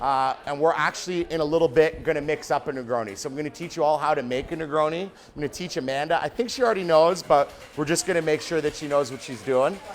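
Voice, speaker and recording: A man with a fairly high pitch speaks at a very fast pace with ordinary pitch variation. Noticeable background noise runs underneath. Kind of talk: tutorial. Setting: restaurant, online class. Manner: loud; casual.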